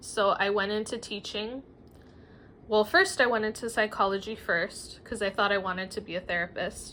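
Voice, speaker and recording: A woman speaks with a Spanish accent at a moderate pace. Her medium-pitched voice has a bright, sharp tone. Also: fairly even intonation. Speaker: writer and former teacher. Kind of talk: casual vlog monologue. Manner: hesitant, many fillers.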